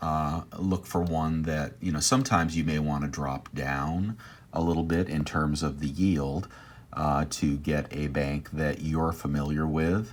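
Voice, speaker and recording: The man's pitch is very deep and low. He talks at a fairly slow pace with fairly even intonation. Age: 60s. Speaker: personal finance YouTuber. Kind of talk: screen-share tutorial. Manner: hesitant, many fillers.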